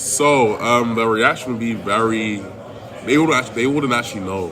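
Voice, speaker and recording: Noticeable background noise surrounds a man whose medium pitch varies in an ordinary way. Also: moderate pace. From London, England. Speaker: college football offensive lineman. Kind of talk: interview answer.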